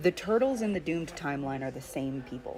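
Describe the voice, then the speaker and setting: This is a woman speaking. Her pitch is very deep and low. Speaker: streamer and fan artist. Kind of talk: casual chat. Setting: live stream while drawing. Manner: halting, many fillers.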